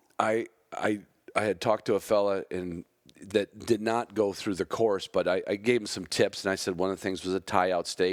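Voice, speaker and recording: Someone speaks at a moderate pace in a very clean recording with a silent background. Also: man, dry, close sound with no echo. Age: 60s. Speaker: podcast host. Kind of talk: casual chat. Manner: animated.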